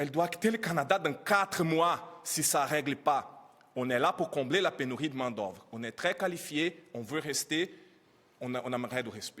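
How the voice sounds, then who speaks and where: Here a man talks at a fairly slow pace in a fairly high pitch. His intonation is lively. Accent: non-native. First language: not French (speaking French). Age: 30s. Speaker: immigrant educator speaking at press conference. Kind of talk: press conference testimony. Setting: press conference. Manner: halting.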